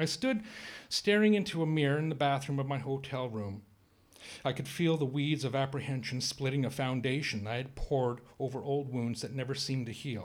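Moving at a fairly quick pace, a man speaks in a plain, everyday voice of medium pitch with ordinary pitch variation. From Canada, Cree. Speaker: writer. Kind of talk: reading aloud.

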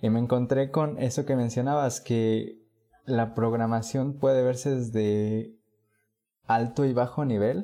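A man's dark, mellow voice at medium pitch, fairly slow and fairly even in intonation, with very even loudness over a quiet background. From Puebla, Mexico. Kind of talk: casual interview.

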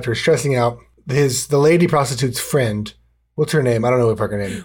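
In a put-on character voice, a man talks raspily at a medium pitch and a fairly quick pace with ordinary pitch variation. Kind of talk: casual, profane. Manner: chewing ice while speaking.

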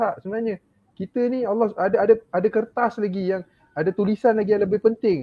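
The speaker is a man with a high voice. He talks fairly quickly. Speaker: religious teacher and parent panelist. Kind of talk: panel discussion.

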